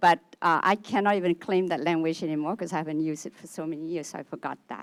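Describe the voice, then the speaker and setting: Speaking at a very fast pace with a Vietnamese accent, a woman keeps a fairly even intonation while her loudness swings widely, in a dry, close sound with no echo. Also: fairly low pitch for a woman. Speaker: audience member. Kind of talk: audience question.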